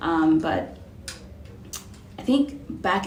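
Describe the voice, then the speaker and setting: Noticeable background noise and audible room echo surround the speech of a woman. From Cameroon. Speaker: real estate investor. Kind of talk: interview.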